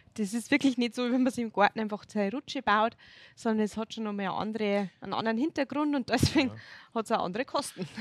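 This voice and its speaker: Very fast speech with ordinary pitch variation and a dry, close sound with no echo. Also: woman, fairly high pitch for a woman. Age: 30s. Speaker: local politician, religion teacher. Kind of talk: casual interview.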